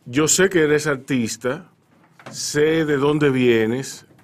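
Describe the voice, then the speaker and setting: Very slow speech from a man with a fairly high pitch. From Dominican Republic, Santo Domingo. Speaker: radio host. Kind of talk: radio interview. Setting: radio studio.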